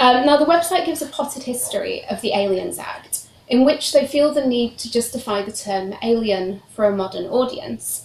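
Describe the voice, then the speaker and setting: A high-pitched woman in a British accent, lively intonation and big swings in loudness over noticeable background noise. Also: moderate pace, hardly any pauses. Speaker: PhD researcher, historian. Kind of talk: academic seminar talk. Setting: seminar room with audience, streamed online.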